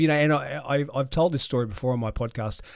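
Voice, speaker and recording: A medium-pitched man with an Australian accent, on a very clean recording with a silent background. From Australia (Brisbane). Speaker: leadership consultant and podcast host. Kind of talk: interview conversation.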